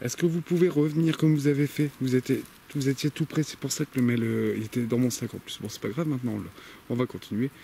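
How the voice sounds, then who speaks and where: A man talks quietly at a very fast pace, at a medium pitch with ordinary pitch variation. His tone is dark, mellow and somewhat breathy. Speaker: paranormal investigator youtuber. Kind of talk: solo on-location investigation commentary. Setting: outdoors in a forest at night. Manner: speaking very quietly, hushed.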